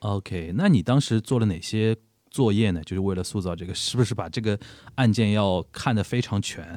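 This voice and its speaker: In a normal speaking voice, a man with a fairly low pitch talks at a moderate pace with ordinary pitch variation, on a very clean recording with a silent background. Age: 30s. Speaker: podcast host; media professional. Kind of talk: casual chat.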